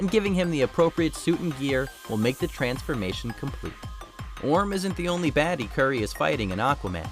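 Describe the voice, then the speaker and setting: With music in the background, a man with an American accent speaks at a fairly quick pace in an upbeat tone. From United States. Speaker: voice actor. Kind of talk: online entertainment video narration. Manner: upbeat, conversational.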